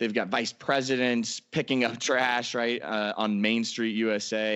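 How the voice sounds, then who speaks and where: A man with an American accent speaks at a moderate pace and medium pitch in an unremarkable speaking voice. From Florida (Orlando). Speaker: sports fan-experience consultant. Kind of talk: podcast interview.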